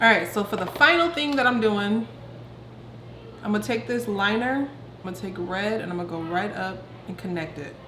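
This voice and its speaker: A woman talks at a moderate pace, her voice carrying audible room echo along with noticeable background noise. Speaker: beauty vlogger. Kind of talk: tutorial. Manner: quiet.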